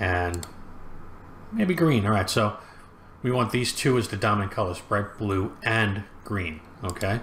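The delivery is fairly slow, in a fairly bright tone. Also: man.

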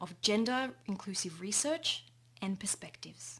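A somewhat breathy woman speaks at a moderate pace. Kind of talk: conference presentation. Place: home room. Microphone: webcam.

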